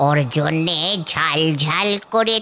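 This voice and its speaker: The voice is a female-sounding cartoonish character voice. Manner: lively, chatty.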